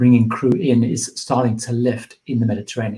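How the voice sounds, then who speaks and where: A man speaks at a fairly quick pace in a somewhat breathy voice. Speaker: cruise travel youtuber. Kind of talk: live Q&A stream. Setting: livestream. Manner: fast.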